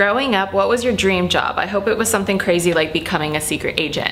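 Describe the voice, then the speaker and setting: A woman speaks with an American accent. Her voice carries audible room echo and noticeable background noise. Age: 20s. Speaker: YouTuber. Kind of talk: casual Q&A vlog. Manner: casual, with fillers.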